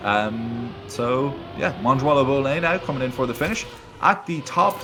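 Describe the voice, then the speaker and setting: Someone with a slight Irish accent speaks over music in the background. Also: man. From Ireland. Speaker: esports caster. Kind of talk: casual chat; live commentary. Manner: hesitant fillers.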